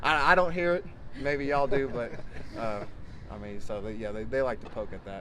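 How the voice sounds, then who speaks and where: A man with a Texan accent, medium pitch and lively intonation, at a fairly quick pace with long, frequent pauses, amid audible room echo and noticeable background noise. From Texas. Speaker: college football player. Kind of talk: interview. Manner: halting, many fillers.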